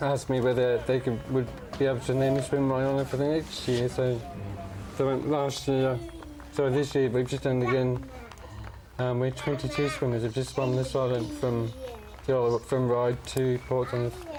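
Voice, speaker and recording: Long, frequent pauses in monotone, flat speech at a moderate pace, with very even loudness and noticeable background noise. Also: man, medium pitch for a man. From northern England, Barnsley. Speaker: charity fundraiser living with motor neurone disease. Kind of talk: TV interview. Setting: TV studio. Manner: halting.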